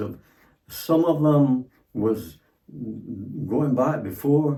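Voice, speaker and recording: This man talks at a very slow pace in a fairly high voice. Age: 90s. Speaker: elderly father-in-law. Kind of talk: casual chat. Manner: halting, repetitive.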